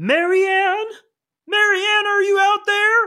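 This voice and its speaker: A put-on character voice sits at an extremely high pitch and sounds squeaky. It moves at a fairly slow pace with monotone, flat intonation. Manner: calling out, announcing.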